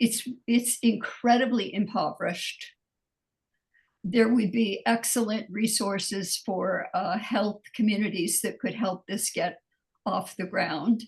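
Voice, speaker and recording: A woman's somewhat breathy, fairly high voice at a fairly slow pace, with fairly even intonation. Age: 80s+. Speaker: audience member. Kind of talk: webinar Q&A.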